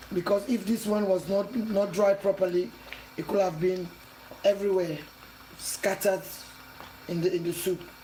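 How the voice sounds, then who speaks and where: Over noticeable background noise, a woman speaks with fairly even intonation and long, frequent pauses. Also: medium pitch for a woman, moderate pace. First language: not English. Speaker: cooking channel host. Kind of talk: cooking tutorial.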